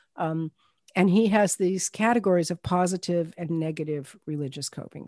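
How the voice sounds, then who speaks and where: Against a quiet background with a dry, close sound and no echo, a woman with an ordinary speaking voice talks at a fairly low pitch and a fairly slow pace, with ordinary pitch variation. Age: 60s. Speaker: clinical chaplain and end of life educator. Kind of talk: interview.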